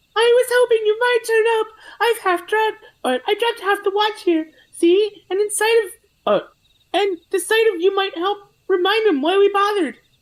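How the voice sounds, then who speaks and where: Someone does a squeaky put-on character voice at an extremely high pitch and a moderate pace. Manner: playful.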